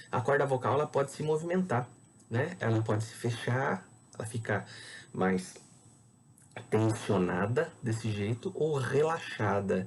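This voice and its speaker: Speaking at a fairly slow pace, a man uses lively intonation and a medium pitch, his voice somewhat breathy. He takes long, frequent pauses. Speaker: biology teacher. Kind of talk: lecture.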